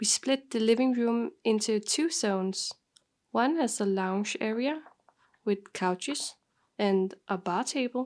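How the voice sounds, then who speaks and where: On a very clean recording with a silent background, a woman with a Danish accent speaks at a fairly slow pace, her fairly high pitch carrying lively intonation. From Denmark. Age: 20s. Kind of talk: home tour voiceover.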